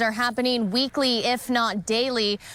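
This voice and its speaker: High-pitched female speech, its pitch moving in an ordinary way. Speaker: TV news reporter. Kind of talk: TV news reporting. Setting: outdoors on location.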